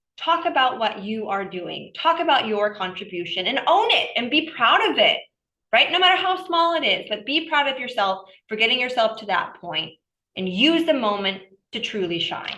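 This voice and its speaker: At a moderate pace, a woman speaks in a high, bright, sharp voice with an animated tone and very wide pitch swings. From Southern California. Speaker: workshop speaker, scientist. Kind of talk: workshop presentation.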